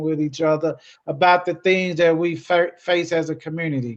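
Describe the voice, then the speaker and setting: The voice carries an American accent. It moves at a moderate pace. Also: man. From US South, Memphis, Tennessee. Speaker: educator and nonprofit speaker. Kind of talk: presentation to a club. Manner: hesitant with fillers and repeats.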